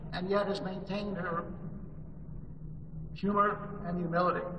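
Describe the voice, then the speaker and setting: A man talks at a moderate pace with fairly even intonation. Background noise is noticeable. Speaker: conference host introducing keynote. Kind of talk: formal speech introduction. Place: hall.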